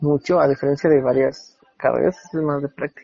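A man with an unremarkable speaking voice talks at a fairly quick pace, his pitch fairly high. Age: 30s. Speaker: architect. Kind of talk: interview. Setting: phone call.

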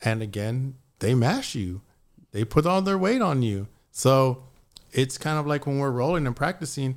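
This is an unremarkable speaking voice with an American accent. A man talks at a medium pitch and fairly quick pace. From Texas, San Antonio. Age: 40s. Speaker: fitness and faith lifestyle entrepreneur. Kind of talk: casual chat.

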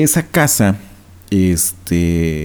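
A man speaks with a dark, mellow tone. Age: 30s. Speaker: podcast host. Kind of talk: solo podcast monologue.

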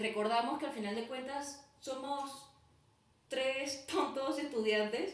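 Noticeable background noise and audible room echo surround a woman's voice. Her intonation is lively. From Venezuela (Caracas). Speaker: student podcast co-host. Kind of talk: casual chat.

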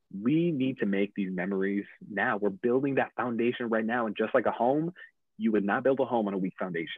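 In a plain, everyday voice, a man with an American accent talks at a fairly quick pace, his medium pitch showing ordinary variation. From upstate New York. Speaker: podcast guest, father. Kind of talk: casual interview. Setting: video call.

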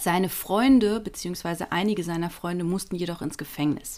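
The woman's pitch is medium. She talks at a moderate pace. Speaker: podcast co-host, storyteller. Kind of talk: storytelling. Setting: home office.

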